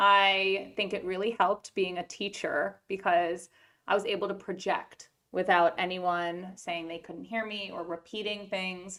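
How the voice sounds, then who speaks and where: This woman has a medium-pitched voice with a bright, sharp tone and flat, monotone intonation. She talks at a fairly slow pace, and her loudness swings widely. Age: 30s. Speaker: podcast host, children's book author and educator. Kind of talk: casual interview chat with her mother.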